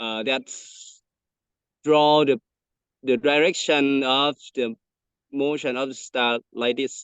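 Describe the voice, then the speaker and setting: With a non-native accent, the speaker talks very slowly with fairly even intonation and long, frequent pauses, the sound dry and close with no echo. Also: man, fairly high pitch for a man. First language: not English. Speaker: teacher. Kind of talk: presentation Q&A. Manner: halting.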